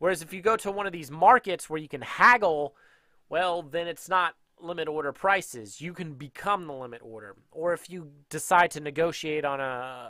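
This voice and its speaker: The tone is bright and sharp, with lively intonation and big swings in loudness at a moderate pace. The sound is dry with no echo, and the background is quiet. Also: man, fairly high pitch for a man. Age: 30s. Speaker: day trading educator. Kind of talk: tutorial. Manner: casual. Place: home room. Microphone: headset.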